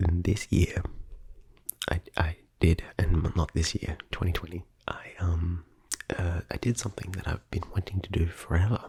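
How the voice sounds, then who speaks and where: Soft-spoken and very deep in pitch, a man with an Australian accent talks at a fairly slow pace in a monotone, flat way, with long, frequent pauses. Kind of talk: ASMR rambling vlog.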